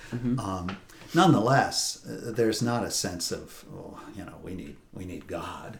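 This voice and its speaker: A man with an American accent speaks at a medium pitch with lively intonation. His loudness swings widely, and there is noticeable background noise. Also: fairly slow pace. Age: 60s. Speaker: priest. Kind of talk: interview conversation. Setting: on location at a retreat house.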